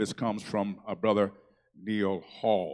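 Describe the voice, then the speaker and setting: Over a quiet background, a man talks at a moderate pace in a warm, upbeat tone. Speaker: church announcer and worship leader. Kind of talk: church announcements. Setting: church. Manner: warm, upbeat, leads the congregation in responses. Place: church. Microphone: handheld.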